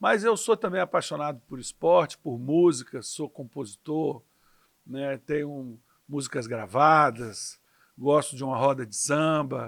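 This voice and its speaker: Fairly slow speech from a man in an unremarkable speaking voice, fairly high in pitch, with lively intonation and big swings in loudness, on a very clean recording with a silent background. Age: 60s. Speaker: politician. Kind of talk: interview.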